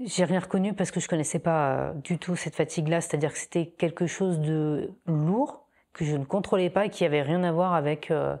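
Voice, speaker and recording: On a very clean recording with a silent background, a woman talks at a moderate pace with a fairly low pitch, a dark, mellow tone and fairly even intonation. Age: 40s. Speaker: breast cancer patient. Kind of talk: testimony. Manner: hesitant, many fillers.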